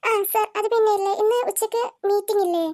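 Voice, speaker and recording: A woman in a cartoonish character voice squeaks at an extremely high pitch, moving at a moderate pace with monotone, flat intonation. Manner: hesitant, stammering.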